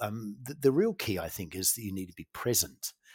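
A man with a New Zealand accent speaks at medium pitch and a moderate pace, with ordinary pitch variation. The recording is very clean and silent behind him, with a dry, close sound and no echo. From New Zealand, farming community. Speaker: company CEO. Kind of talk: interview. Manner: halting, many fillers.

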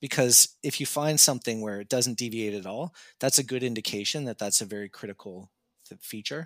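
A man with a Canadian accent uses a plain, everyday voice at medium pitch with ordinary pitch variation and a moderate pace, recorded dry and close with no echo in a very clean recording with a silent background. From Canada. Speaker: razor designer and 3D video game artist. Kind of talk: casual interview.

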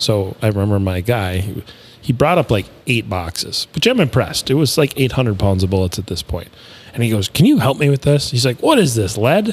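A man speaks fairly quickly in a somewhat breathy voice. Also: medium pitch for a man. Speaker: podcast host. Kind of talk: casual chat. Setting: studio.

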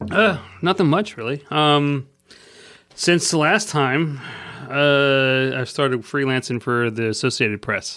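A normal speaking voice with an American accent, fairly slow, with ordinary pitch variation. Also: man, fairly high pitch for a man. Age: 40s. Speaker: photojournalist. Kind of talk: casual chat.

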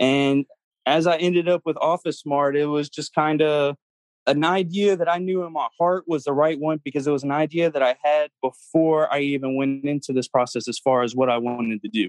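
A man speaks in a normal speaking voice at a fairly high pitch, with ordinary pitch variation. His moderate pace comes through in a dry, close sound with no echo. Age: 20s. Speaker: franchise owner. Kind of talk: interview.

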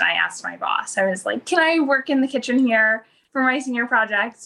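This woman's voice sits at a high pitch. Its tone is bright and sharp. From Rhode Island. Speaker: bakery owner. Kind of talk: interview.

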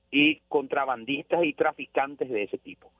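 A man speaks at a fairly slow pace. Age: 40s. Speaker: radio journalist. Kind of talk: radio interview.

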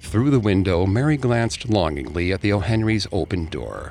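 With music in the background, a man talks at a moderate pace using lively intonation. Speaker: podcast host narrator. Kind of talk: scripted true-crime horror narration, told as a dramatized ghost story. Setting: studio. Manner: dramatic, measured storyteller delivery.

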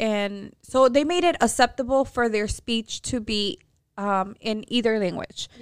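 This woman's fairly high voice moves at a moderate pace with ordinary pitch variation, broken by long, frequent pauses. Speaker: podcast co-host. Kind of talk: casual chat. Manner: proper-sounding when speaking Spanish.

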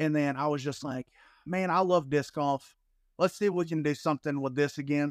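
With an American accent and an ordinary speaking voice, a man talks at a fairly quick pace with a fairly high pitch and fairly even intonation, in a very clean recording with a silent background and a dry, close sound with no echo. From US South, Alabama. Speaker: disc golf content creator. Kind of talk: casual interview chat.

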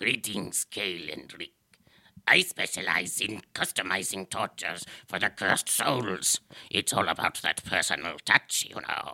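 A raspy, low-pitched put-on character voice is heard. It moves at a moderate pace.

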